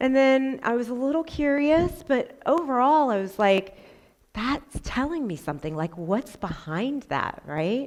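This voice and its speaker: A loud, animated woman at a fairly slow pace, her pitch swinging very widely, in a very clean recording with a silent background. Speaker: school counselor. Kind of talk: conference talk. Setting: stage with audience.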